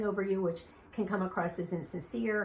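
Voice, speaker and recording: A woman at medium pitch speaks with ordinary pitch variation over noticeable background noise. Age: 60s. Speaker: beauty industry veteran. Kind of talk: podcast monologue.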